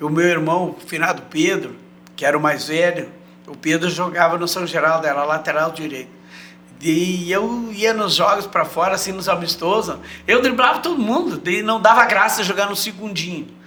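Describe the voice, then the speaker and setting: A high-pitched man speaks with audible room echo and noticeable background noise. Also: ordinary pitch variation, moderate pace. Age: 70s. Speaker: retired footballer. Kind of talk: casual interview chat.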